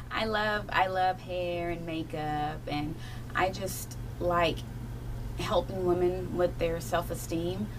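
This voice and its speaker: Noticeable background noise sits behind the voice of a woman speaking. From Kentucky, Appalachian Mountains. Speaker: children's book author. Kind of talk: radio interview. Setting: radio studio. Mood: warm, enthusiastic. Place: studio.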